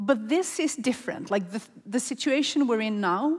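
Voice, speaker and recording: Her intonation is lively and her pace moderate. The woman sounds somewhat breathy. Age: 40s. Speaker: panel moderator. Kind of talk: panel discussion; event announcements. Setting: conference stage with audience.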